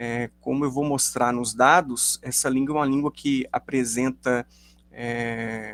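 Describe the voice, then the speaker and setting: A man's medium-pitched voice at a fairly slow pace, fairly even in intonation, with a dry, close sound and no echo. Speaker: linguistics professor. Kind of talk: academic lecture. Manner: hesitant, many fillers.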